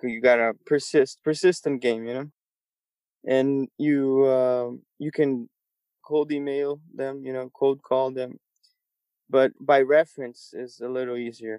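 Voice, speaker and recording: A man speaks at medium pitch with a dark, mellow tone and flat, monotone intonation. His fairly slow delivery has long, frequent pauses and big swings in loudness, recorded dry and close with no echo. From Brazil. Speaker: musician and composer. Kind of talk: casual interview.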